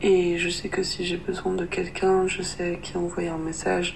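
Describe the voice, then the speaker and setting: Over noticeable background noise, a woman with a fairly low voice speaks fairly slowly in a monotone, flat manner. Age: 20s. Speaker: interviewee. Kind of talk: testimony. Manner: halting.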